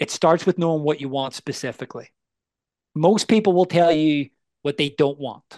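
A man with a Northern Irish accent speaks at a moderate pace in a fairly high pitch with ordinary pitch variation. The background is quiet, and the sound is dry and close with no echo. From Northern Ireland, Belfast. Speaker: life coach. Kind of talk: casual interview.

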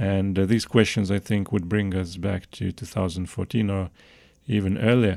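In a Lithuanian accent, a man speaks with a very deep, low pitch and a dark, mellow tone. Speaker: political researcher. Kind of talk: podcast interview. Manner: halting.

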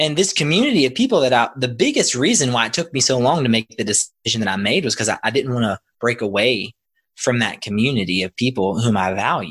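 With an American accent, a man at medium pitch talks very fast in a very clean, silent-background recording that sounds dry and close with no echo. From Kentucky, Louisville. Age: 30s. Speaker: former teacher, podcaster. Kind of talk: casual chat.

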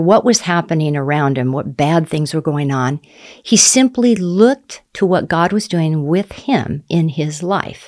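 A woman speaks at a fairly slow pace in a plain, everyday voice. Her pitch is fairly low, and her intonation is lively. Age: 60s. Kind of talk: faith testimony interview.

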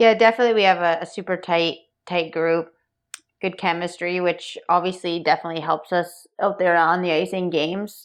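A woman with a normal speaking voice talks at a fairly low pitch and a fairly quick pace. Her intonation is fairly even against a quiet background. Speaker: professional ice hockey goalie. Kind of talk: podcast interview.

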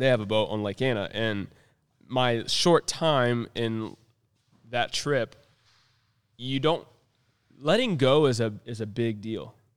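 With an American accent, a man speaks at a very slow pace. He leaves long, frequent pauses. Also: medium pitch for a man, ordinary pitch variation. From North Carolina. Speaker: podcast co-host. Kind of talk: casual chat. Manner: animated.

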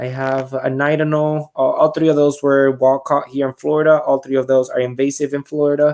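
With a Puerto Rican accent, a man with a fairly high voice speaks fairly quickly in a flat monotone, hardly pausing at all. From Puerto Rico. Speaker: reptile and alligator handler. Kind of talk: casual chat.

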